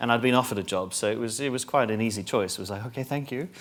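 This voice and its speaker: Someone speaks very fast with a strong South African accent in a very clean recording with a silent background. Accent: South African, stronger. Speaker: marketing executive. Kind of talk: panel discussion.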